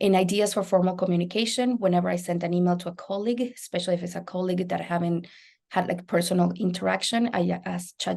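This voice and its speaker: A woman's fairly low, somewhat breathy voice with a dark, mellow tone, a Spanish accent, and a very fast pace. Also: quiet background. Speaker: biology lecturer. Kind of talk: panel presentation.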